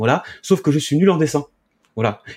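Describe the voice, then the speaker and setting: Somewhat breathy and dark, mellow in tone, a man's voice moves at a moderate pace with ordinary pitch variation. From Paris region, raised in Charente-Maritime from about age 10. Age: 30s. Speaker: hemp association president and grower. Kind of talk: interview. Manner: halting, with repetitions.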